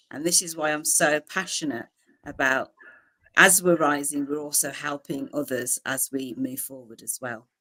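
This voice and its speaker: A woman with a Birmingham accent, very deep and low in pitch, bright and sharp in tone, at a moderate pace with big swings in loudness. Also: ordinary pitch variation. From England, Birmingham. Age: 40s. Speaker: publisher. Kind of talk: interview.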